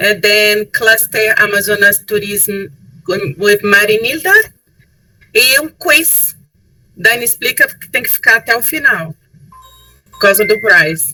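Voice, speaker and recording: Speaking at a very slow pace with long, frequent pauses, a woman uses lively intonation and big swings in loudness. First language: Portuguese (speaking French). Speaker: tourism board representative. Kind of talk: webinar presentation. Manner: halting.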